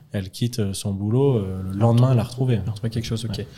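Intonation is fairly even. A dark, mellow tone comes through. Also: man. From France, Lyon. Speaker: startup founder and CEO. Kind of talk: interview. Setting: company office.

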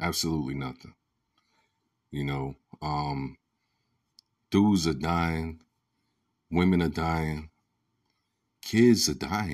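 A man with a very deep, low voice speaks in a passionate tone, very slowly, with ordinary pitch variation and long, frequent pauses. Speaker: podcast host. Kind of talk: solo commentary monologue. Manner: passionate, rising voice.

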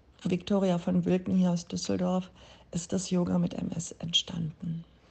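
A woman speaks at a very slow pace with a medium pitch. Her voice is somewhat breathy. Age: 50s. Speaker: yoga teacher. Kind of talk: interview; guided meditation.

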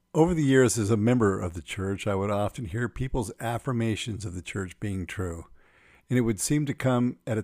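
On a very clean recording with a silent background, a man with an American accent speaks at a moderate pace in a normal speaking voice, fairly low in pitch with ordinary pitch variation. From US, Phoenix area, Arizona. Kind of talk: personal testimony narration.

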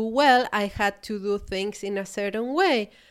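A woman's fairly high, warm voice in a Chilean accent, in a very clean recording with a silent background. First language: Spanish. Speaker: podcast host, business coach. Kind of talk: solo podcast monologue. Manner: reflective, warm, with hesitations.

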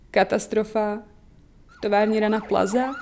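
A woman speaks with a Slovak accent at a fairly high pitch. Her intonation is monotone and flat. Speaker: online magazine co-founder. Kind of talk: documentary interview.

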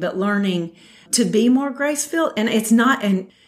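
Lively in intonation, a woman with a Southern US accent speaks at a fairly high pitch. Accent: Southern American. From US South, Metro Atlanta, Georgia. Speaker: mothers' fellowship leader. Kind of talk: casual chat. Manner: halting.

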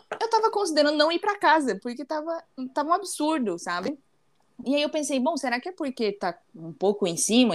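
Her pitch swings very widely as a woman speaks at a fairly quick pace. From Santa Catarina, southern Brazil. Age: 20s. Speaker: naval engineer and embroidery creator. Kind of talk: casual chat.

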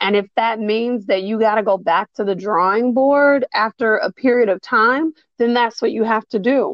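A woman talks at a moderate pace in a fairly high pitch, with ordinary pitch variation and very even loudness. It is a normal speaking voice with hardly any pauses. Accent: American. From US Midwest, south side of Chicago. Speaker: licensed therapist. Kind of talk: casual interview chat.

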